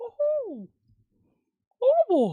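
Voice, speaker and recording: The voice is a put-on character voice. It sounds squeaky. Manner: cheerful, exclamatory.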